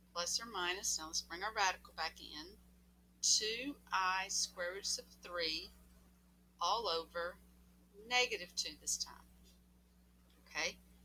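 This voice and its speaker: A woman speaking at a fairly slow pace, with long, frequent pauses. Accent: Southern US. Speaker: math teacher. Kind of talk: tutorial. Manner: casual, animated.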